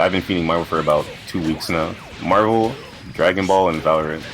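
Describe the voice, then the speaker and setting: A man with a very deep, low pitch speaks at a fairly quick pace and ordinary pitch variation while music plays in the background. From Canada. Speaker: fighting game player. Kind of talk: casual chat.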